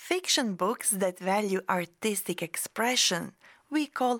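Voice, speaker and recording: An unremarkable speaking voice moves at a fairly slow pace with ordinary pitch variation on a very clean recording with a silent background. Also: woman. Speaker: podcast host and English teacher. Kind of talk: scripted educational podcast. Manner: clear, slow, teaching-style.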